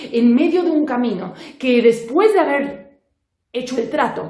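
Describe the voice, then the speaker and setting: A woman is speaking. Her pitch swings very widely. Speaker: storyteller. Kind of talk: children's oral storytelling. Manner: mysterious, suspenseful.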